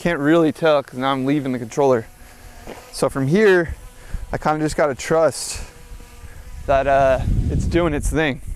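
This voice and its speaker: Amid noticeable background noise, a man with a fairly high pitch speaks at a moderate pace with fairly even intonation and long, frequent pauses. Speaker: skateboarder and video creator. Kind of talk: vlog while skating and reviewing a drone. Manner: casual, with fillers.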